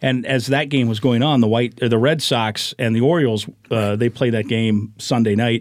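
Speaking with a Midwestern US accent, a man holds a medium pitch, very even loudness, and fairly even intonation. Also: moderate pace, hardly any pauses. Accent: US Midwest. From Iowa. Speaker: sports radio play-by-play announcer. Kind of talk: casual chat.

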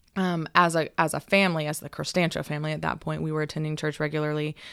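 In a plain, everyday voice with an American accent, the speaker goes at a fairly quick pace in a very clean recording with a silent background. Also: woman. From Northern California. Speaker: church worship leader and graphic designer. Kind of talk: testimony.

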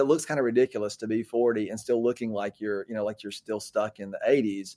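A man's voice, with ordinary pitch variation, comes through a very clean recording with a silent background and a dry, close sound with no echo. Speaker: pastor and author. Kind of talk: interview conversation. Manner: halting, many fillers.

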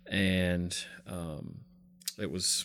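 A man with a Southern US accent speaks on a very clean recording with a silent background. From US South, South Carolina. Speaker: pastor. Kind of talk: interview.

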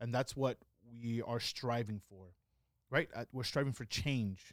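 At a moderate pace, a man talks in an unremarkable speaking voice at medium pitch with ordinary pitch variation. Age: 30s. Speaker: podcast co-host. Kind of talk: casual chat.

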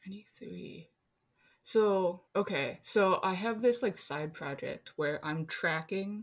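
Fairly low in pitch, this woman has an unremarkable speaking voice with ordinary pitch variation. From Minnesota. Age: 20s. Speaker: architecture worker. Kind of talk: casual chat.

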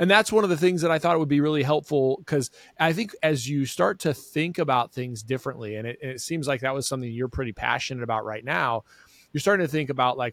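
A man with an unremarkable speaking voice speaks at medium pitch with ordinary pitch variation, in a very clean recording with a silent background and a dry, close sound with no echo. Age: 40s. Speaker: eye doctor and podcast host. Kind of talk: casual interview.

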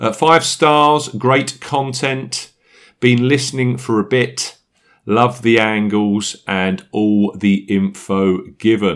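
With a London accent, the speaker moves very slowly with ordinary pitch variation on a very clean recording against a silent background. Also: man, medium pitch for a man. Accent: English, likened to Michael Caine. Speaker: golf betting podcast host. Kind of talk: casual chat.

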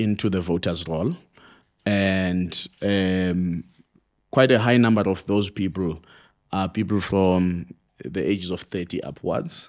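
A man's very deep, low voice at a very slow pace, with ordinary pitch variation, in a very clean recording with a silent background. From South Africa, Eastern Cape (Mpondo area). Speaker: political analyst. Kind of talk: interview.

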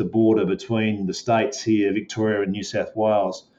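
In an Australian accent, a man speaks at a fairly low pitch. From Melbourne, Australia. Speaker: golf course manager. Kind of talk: interview.

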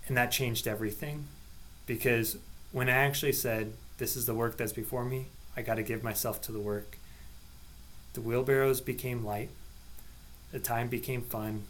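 Fairly even intonation against audible room echo. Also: man. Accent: American. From Nebraska, US Midwest. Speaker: parish catechist. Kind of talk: casual podcast chat.

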